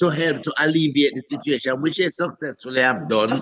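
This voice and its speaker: In a Jamaican accent, a man talks at a fairly high pitch with ordinary pitch variation. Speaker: comedian. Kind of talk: interview answer. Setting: video call.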